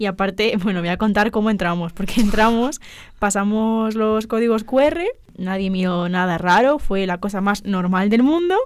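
A woman's plain, everyday voice at medium pitch, moderate in pace with ordinary pitch variation, in a very clean recording with a silent background. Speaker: journalism student. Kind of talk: casual chat. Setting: studio.

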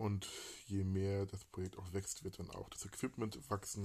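Against a quiet background, a man with a fairly low, somewhat breathy voice talks at a moderate pace. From Hamburg. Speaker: podcast host. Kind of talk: casual chat. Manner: halting.

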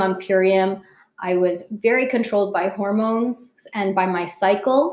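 A plain, everyday voice from a woman, medium in pitch, with ordinary pitch variation and a fairly slow pace. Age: 30s. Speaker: brand partner and mother. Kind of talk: interview. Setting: at her home.

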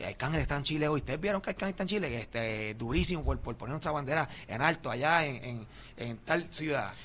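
Talking at a very fast pace, a man with a fairly high pitch uses lively intonation and vocal fry. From Philadelphia, Puerto Rican family. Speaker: podcaster and reggaeton figure. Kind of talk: casual interview.

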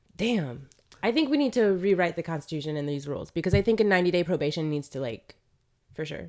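A woman with an American accent talks at a very fast pace, her fairly low voice making very wide pitch swings. The recording is very clean with a silent background. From Florida, US South (Ocala). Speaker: podcast co-host. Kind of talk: casual chat. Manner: animated.

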